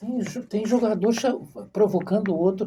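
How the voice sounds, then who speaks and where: Here is a man with a high pitch. His tone is dark and mellow. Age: 60s. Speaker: podcast host. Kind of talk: interview. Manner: halting, with repeated syllables.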